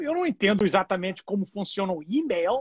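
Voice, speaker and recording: Recorded with a dry, close sound and no echo, a man talks at a fairly quick pace with lively intonation. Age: 50s. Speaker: pastor. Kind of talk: bible study.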